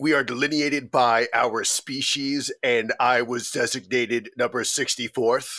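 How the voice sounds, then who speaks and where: A man does a put-on character voice at a medium pitch. He keeps a moderate pace with hardly any pauses. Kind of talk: grandiose heroic speech. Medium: actual play.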